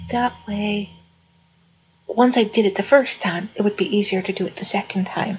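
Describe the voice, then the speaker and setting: Pausing long and often, a woman talks at a medium pitch with fairly even intonation. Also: moderate pace. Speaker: video blogger. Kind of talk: casual vlog monologue. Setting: living room at home. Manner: soft-spoken; halting.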